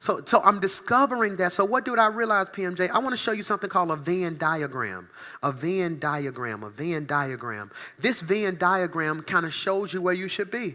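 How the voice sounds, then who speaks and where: Animated and bright, with a sharp tone, a man speaks at a moderate pace with a high pitch and lively intonation. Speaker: pastor. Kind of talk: sermon.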